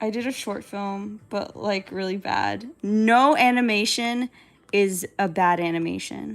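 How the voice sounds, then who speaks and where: A woman with a plain, everyday voice, medium pitch and ordinary pitch variation, at a fairly slow pace, on a very clean recording with a silent background. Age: 20s. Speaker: digital artist live streamer. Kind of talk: casual live stream chat while drawing.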